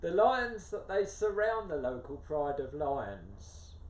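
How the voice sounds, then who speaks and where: Speaking at a very slow pace, a man swings his pitch very widely amid audible room echo. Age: 70s. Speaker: adventure runner and author. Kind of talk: interview. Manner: hesitant with fillers.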